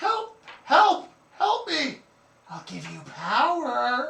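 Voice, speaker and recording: A put-on character voice, pitched high and delivered at a very slow pace. There is a slight echo. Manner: creepy, pleading, tempting.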